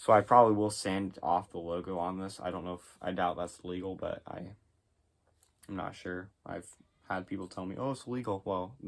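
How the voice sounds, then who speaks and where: Loudness swings in big jumps throughout. The pace stays moderate. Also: man. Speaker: disc golf player and video creator. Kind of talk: casual product review vlog. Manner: casual, with many fillers.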